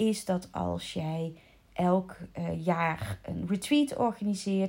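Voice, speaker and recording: A woman with a medium-pitched, somewhat breathy voice and a dark, mellow tone speaks at a very slow pace. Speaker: coach for children's coaches. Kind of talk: solo podcast monologue. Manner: halting; casual.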